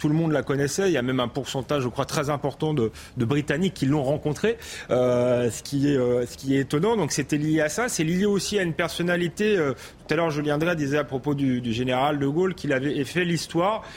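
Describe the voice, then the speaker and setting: A man's ordinary speaking voice, fairly high in pitch, with ordinary pitch variation, a fairly quick pace and very even loudness. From France, Paris suburbs (Seine-Saint-Denis). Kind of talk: debate.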